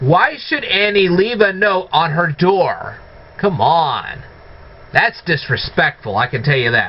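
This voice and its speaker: With very wide pitch swings, a high-pitched man talks at a very slow pace against noticeable background noise. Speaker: movie reviewer. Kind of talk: casual talk to camera.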